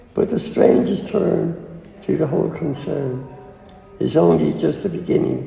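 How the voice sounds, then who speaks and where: A man talks at a very slow pace. Noticeable background noise can be heard behind him. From Dublin, Ireland. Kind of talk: poetry reading.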